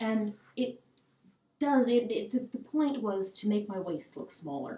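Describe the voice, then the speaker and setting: A woman speaks at a fairly high pitch with a dark, mellow tone and a somewhat breathy quality. Her pitch varies in an ordinary way, and there is audible room echo. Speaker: historical fashion presenter. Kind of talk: casual talk to camera. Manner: hesitant, casual with fillers. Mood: cheerful, amused. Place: home room. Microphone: camera far.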